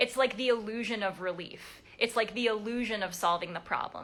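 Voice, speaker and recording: The voice has an animated, bright, sharp tone. It moves at a fairly quick pace. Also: woman. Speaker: codependency recovery coach. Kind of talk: live stream talk. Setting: live video stream. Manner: fast.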